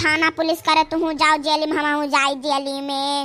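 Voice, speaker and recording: The voice is a cartoonish character performance. Its speed is moderate. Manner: anxious, fussing.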